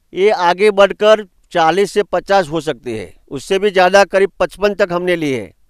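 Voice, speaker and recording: The recording is very clean, with a silent background and a dry, close sound free of echo. A man talks at a high pitch with ordinary pitch variation. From India, Gujarat, Banaskantha. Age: 60s. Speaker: farmer. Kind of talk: farm tour explanation. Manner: halting.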